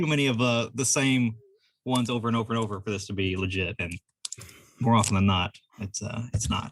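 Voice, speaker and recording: Talking very fast, a man has a slight Southern US accent and ordinary pitch variation. His speech has long, frequent pauses. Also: medium pitch for a man. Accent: slight Southern twang. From California. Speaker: game store owner. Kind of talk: casual chat. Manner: fast, laid back.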